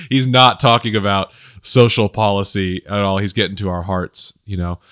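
On a very clean recording with a silent background and a dry, close sound with no echo, a man speaks at a moderate pace at a fairly low pitch in an unremarkable speaking voice. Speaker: podcast host and pastor. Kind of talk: casual chat.

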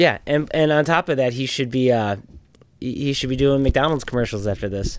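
A plain, everyday voice from a man, medium in pitch, with ordinary pitch variation and a fairly quick pace. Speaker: podcast host. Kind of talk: casual chat.

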